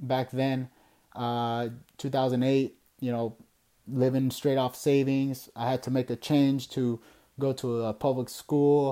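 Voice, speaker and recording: A man speaks at a fairly slow pace with an American accent, his voice dark and mellow at a medium pitch. The recording is very clean, with a silent background. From Southern California. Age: 20s. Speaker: podcast host. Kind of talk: casual monologue. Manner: halting, many fillers.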